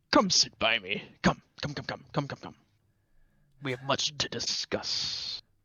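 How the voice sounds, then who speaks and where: A put-on character voice at a fairly slow pace. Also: man, medium pitch for a man. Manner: inviting, sinister, emphasising words.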